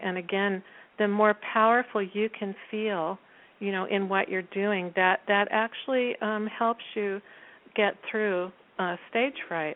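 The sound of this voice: Soft-spoken and fairly slow, a woman talks with fairly even intonation. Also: medium pitch for a woman.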